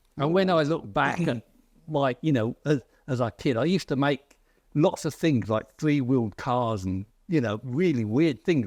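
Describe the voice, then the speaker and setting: With a southern English accent, a man talks at a moderate pace in a fairly high pitch with lively intonation against a quiet background. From southern England, near London. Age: 70s. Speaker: author and philosopher. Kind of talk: interview conversation. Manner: halting, many fillers.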